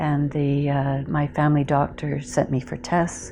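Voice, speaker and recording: Over music in the background, a woman speaks with a Canadian accent in a very deep, low pitch. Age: 60s. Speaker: cancer survivor, retired anthropologist. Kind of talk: testimony. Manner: hesitant, with many fillers.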